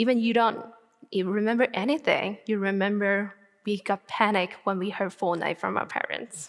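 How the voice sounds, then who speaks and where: In a Chinese accent, a woman speaks at a moderate pace and medium pitch, her intonation fairly even. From northern China, Tianjin. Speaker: graduate student speaker. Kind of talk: TED-style talk.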